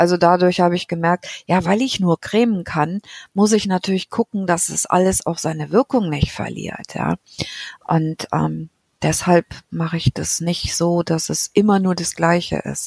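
In a plain, everyday voice, a woman talks at a fairly slow pace with a fairly low pitch and fairly even intonation, the sound dry and close with no echo. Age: 50s. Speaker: patient with psoriasis. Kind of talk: casual interview.

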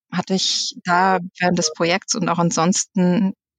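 A plain, everyday voice moves at a fairly slow pace with fairly even intonation, in a dry, close sound with no echo. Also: woman. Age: 40s. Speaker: management consultant. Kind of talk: casual interview.

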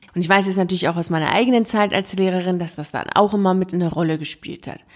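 This woman has an unremarkable speaking voice with a medium pitch and ordinary pitch variation. The recording is very clean, with a silent background. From Iran (Tehran), schooled early years there. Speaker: podcast host and coach for teachers. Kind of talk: solo podcast monologue with personal story. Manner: casual, conversational with laughter.

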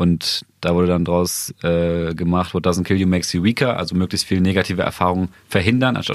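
A man speaks at a fairly quick pace with hardly any pauses, his pitch very deep and low, on a very clean recording with a silent background. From Bremen area, northern Germany. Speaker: podcast host, journalist. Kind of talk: casual chat.

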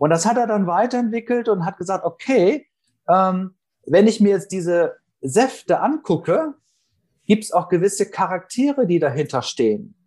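Lively in intonation, a man talks at a moderate pace and high pitch. The background is quiet. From northern Germany. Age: 40s. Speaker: sales trainer. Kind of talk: interview.

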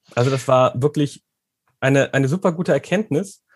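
A man with a somewhat breathy, fairly high voice talks at a moderate pace with ordinary pitch variation, the sound dry and close with no echo. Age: 30s. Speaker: former coaching client, teacher. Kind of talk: interview. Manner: hesitant, many filler sounds.

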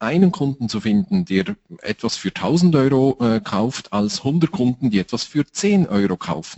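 A man talks at a fairly slow pace with a fairly high pitch. His pitch swings very widely. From Switzerland. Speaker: time management trainer. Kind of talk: interview.

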